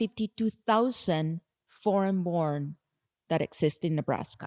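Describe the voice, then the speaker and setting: With a Spanish accent and lively intonation, the speaker moves at a fairly slow pace in a very clean recording with a silent background and a dry, close sound with no echo. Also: woman. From Colombia, Bogota. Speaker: nonprofit executive director. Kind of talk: conference talk.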